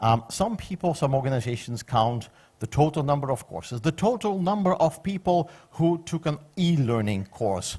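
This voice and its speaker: With a Flemish accent, a man speaks at a moderate pace, somewhat breathy and with lively intonation. The recording is very clean and the background silent. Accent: Flemish Belgian Dutch accent in English. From Belgium, Flanders (Ghent). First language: Dutch. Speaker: conference speaker on public administration. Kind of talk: conference presentation.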